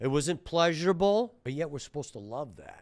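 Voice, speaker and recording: Against a silent background on a very clean recording, a man speaks at a moderate pace with a fairly high pitch, an animated tone and lively intonation. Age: 60s. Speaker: surgeon and health podcast host. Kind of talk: rant monologue.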